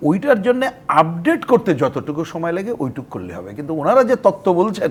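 Noticeable noise sits behind this man's voice. His pitch swings very widely. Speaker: left-wing party politician. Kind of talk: talk show interview.

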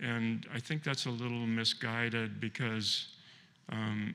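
A man talks slowly at medium pitch, with little pitch movement. His tone is bright and sharp.

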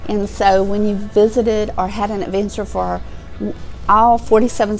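Faint music plays behind a woman's voice. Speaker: outdoor vlogger. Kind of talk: casual vlog chat. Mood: cheerful, chatty. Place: studio. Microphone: lapel.

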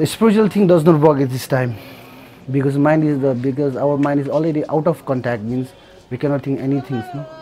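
A man talks at a fairly quick pace with a Nepali accent. His intonation is fairly even, and background noise is noticeable. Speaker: earthquake survivor. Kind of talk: documentary interview. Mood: sad, reflective. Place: street.

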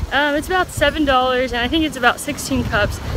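A woman with an American accent talks at a moderate pace in a high pitch. Noticeable background noise sits behind her. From California. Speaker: travel vlogger. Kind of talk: vlog narration.

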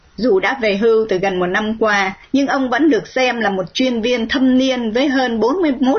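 Noticeable background noise behind a woman speaking at a moderate pace, her pitch fairly high and her pitch variation ordinary. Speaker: radio host. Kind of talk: scripted narration.

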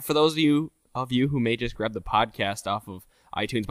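Someone mumbles in a put-on character voice at a moderate pace. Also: man, medium pitch for a man. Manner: poor enunciation, mumbling.

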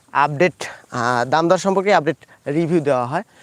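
A man with a western Bangladeshi accent speaks at a fairly high pitch in a dry, close sound with no echo. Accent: regional Pabna dialect tinge. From Bangladesh, Pabna district. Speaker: agricultural market video creator. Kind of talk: solo livestream talk and field interviews. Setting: outdoors in farm fields. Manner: halting, many fillers.

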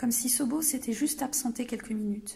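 Ordinary pitch variation in a woman's moderately paced speech. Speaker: library storyteller. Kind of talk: children's story reading.

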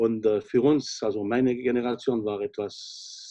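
A man talks while the background remains quiet. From French-speaking Switzerland. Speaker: chef, restaurant owner. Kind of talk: interview answer. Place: home room. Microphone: video call.

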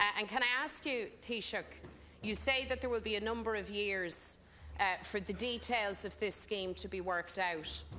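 Here a woman talks at a moderate pace with ordinary pitch variation. Light background noise sits behind her. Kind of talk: parliamentary questioning. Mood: pointed, critical. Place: hall. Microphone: podium.

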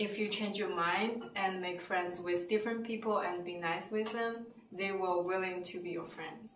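A woman with a Chinese accent speaks at a fairly slow pace, her intonation fairly even. The room echo is audible and there is light background noise. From China; southern China. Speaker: student. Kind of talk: interview answer. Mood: cheerful, smiling. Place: office.

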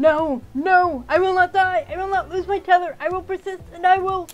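An extremely high put-on character voice moves at a moderate pace while faint music plays in the background. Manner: outraged, desperate.

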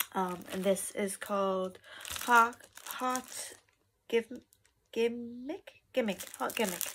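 Very slow and marked by long, frequent pauses, a woman's speech shows ordinary pitch variation over light background noise. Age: 20s. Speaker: vlogger. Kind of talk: casual haul video. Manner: hesitant, many fillers. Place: home room. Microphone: phone near.

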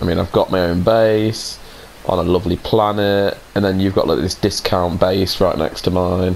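Over noticeable background noise, a speaker with a British accent talks at a fairly quick pace with ordinary pitch variation. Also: man. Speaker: gaming YouTuber. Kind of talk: casual gameplay chat. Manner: jokey, animated.

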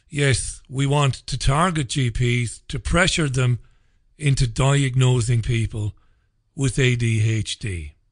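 Very slow, somewhat breathy speech from a man at medium pitch, ordinary pitch variation, over a quiet background. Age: 40s. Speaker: radio host. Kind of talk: angry rant. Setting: studio. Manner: indignant, emphatic, sarcastic. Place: studio.

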